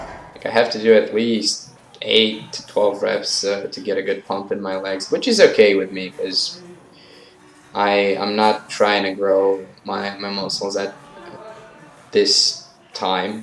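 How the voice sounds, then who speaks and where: Speaking very slowly with a non-native accent, a man makes big swings in loudness. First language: not English. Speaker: fitness vlogger. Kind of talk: voice-over commentary on workout footage. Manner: casual, hesitant with fillers.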